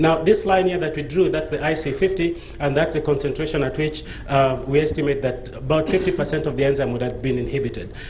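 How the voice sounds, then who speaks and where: A man speaks at a very fast pace, with hardly any pauses. Noticeable background noise and audible room echo surround the recording. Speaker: pharmaceutical researcher. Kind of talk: conference presentation. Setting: conference stage with audience. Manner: hesitant, with fillers.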